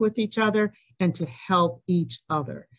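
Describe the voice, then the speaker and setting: Using a plain, everyday voice, a woman speaks at a moderate pace with fairly low pitch and ordinary pitch variation. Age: 60s. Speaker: community meeting moderator. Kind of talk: hybrid community forum moderation. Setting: meeting room with audience and Zoom.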